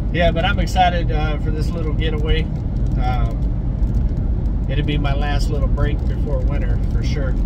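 Loud background noise sits under a man speaking at a moderate pace. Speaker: homesteading vlogger. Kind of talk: casual vlog chat. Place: car. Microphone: phone near.

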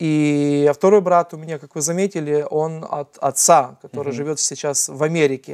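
This man's voice sits fairly high, with fairly even intonation and big swings in loudness. He talks at a moderate pace with hardly any pauses over a quiet background. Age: 30s. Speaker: nonprofit founder and adoptive father; talk show guest. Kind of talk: TV interview. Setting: TV studio. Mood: earnest, reflective storytelling. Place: studio. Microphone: lapel.

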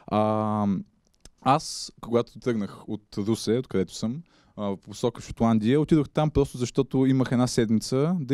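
A man talks at a moderate pace and medium pitch with ordinary pitch variation. His tone is dark and mellow, and the sound is dry with no echo against a quiet background. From Bulgaria, Ruse; Bulgaria. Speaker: journalist; guest. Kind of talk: public talk. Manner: halting. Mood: relaxed, humorous. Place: hall. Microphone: handheld.

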